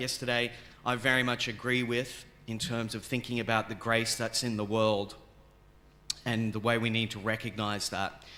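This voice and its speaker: A man's medium-pitched voice in an Australian accent, bright and sharp in tone, with monotone, flat intonation. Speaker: theology professor, keynote speaker. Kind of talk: academic lecture. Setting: conference stage with audience.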